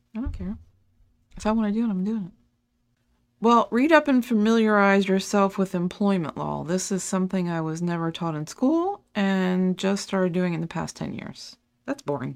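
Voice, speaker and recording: Over a very clean recording with a silent background, a woman with an unremarkable speaking voice talks at medium pitch and a moderate pace, her intonation lively. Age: 50s. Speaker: podcast co-host. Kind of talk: casual chat.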